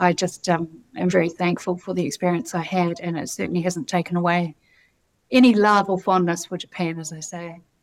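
In a New Zealand accent, a woman talks at a fairly quick pace with a fairly low pitch, fairly even intonation and big swings in loudness, on a very clean recording with a silent background. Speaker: economic development executive. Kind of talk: interview.

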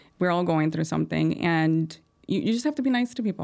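Fairly quick female speech on a very clean recording with a silent background. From Chicago, with early childhood in rural Durango, Mexico. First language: Spanish. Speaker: real estate broker. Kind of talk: podcast interview. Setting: studio. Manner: fast.

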